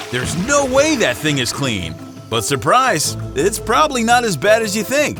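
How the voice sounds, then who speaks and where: A man talks in an upbeat tone at a moderate pace. Music plays in the background. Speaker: voice actor and comedian. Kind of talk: comedic edutainment talk to camera. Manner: upbeat, jokey.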